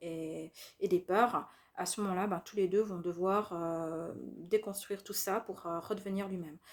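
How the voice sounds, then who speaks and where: Very clean, with a silent background, this recording features a woman speaking at a very slow pace. Her medium pitch keeps fairly even intonation. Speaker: spiritual youtuber. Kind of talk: monologue video talk. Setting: at home. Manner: hesitant fillers.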